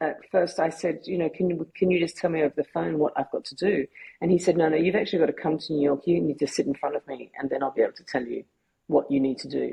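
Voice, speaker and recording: A somewhat breathy woman with an Australian accent, fairly low-pitched, at a very fast pace with ordinary pitch variation. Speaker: photographer and filmmaker, cancer survivor. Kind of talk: podcast interview. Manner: halting, many repetitions.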